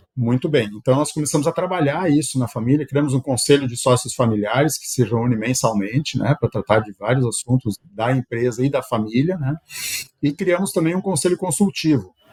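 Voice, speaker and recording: A man's somewhat breathy, medium-pitched voice with lively intonation at a fairly quick pace, dry and close with no echo. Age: 60s. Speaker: company executive and shareholder. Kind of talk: podcast interview. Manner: halting, with frequent fillers.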